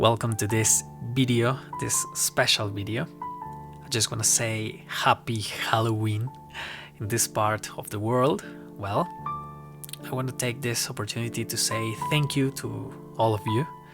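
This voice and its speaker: A man with a non-native accent and medium pitch, lively intonation, a fairly slow pace and long, frequent pauses, with music in the background. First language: not English. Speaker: ASMR and roleplay creator. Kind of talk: horror story narration read to the camera.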